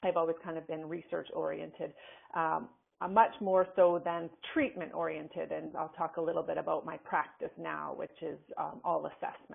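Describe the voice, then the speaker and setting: A woman with a slight Canadian accent talks at a moderate pace. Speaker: forensic psychologist and professor. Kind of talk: webinar lecture. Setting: webinar. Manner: casual, with many fillers.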